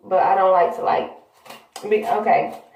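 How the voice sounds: A woman speaks at a medium pitch with a slightly mellow tone, and the room echo is strong.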